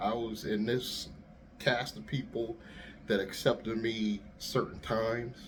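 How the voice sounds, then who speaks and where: The man here speaks with a fairly low pitch. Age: middle-aged. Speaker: YouTuber and rideshare driver. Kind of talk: casual monologue. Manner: soft-spoken; easy-going.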